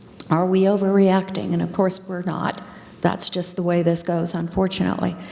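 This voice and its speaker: At a moderate pace and medium pitch, a woman talks over noticeable background noise. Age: 60s. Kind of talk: presentation to a live audience. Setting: room with live audience. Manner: animated.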